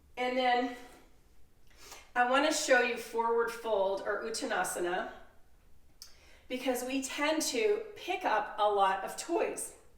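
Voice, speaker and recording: A woman's high-pitched, very slow delivery with lively intonation, long, frequent pauses and audible room echo. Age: 60s. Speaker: yoga instructor. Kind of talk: tutorial. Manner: casual, conversational.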